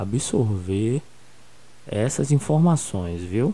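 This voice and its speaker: A man talks at a very slow pace with a fairly low pitch and lively intonation. His tone is dark and mellow and somewhat breathy. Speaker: school geography teacher. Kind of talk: recorded online lesson.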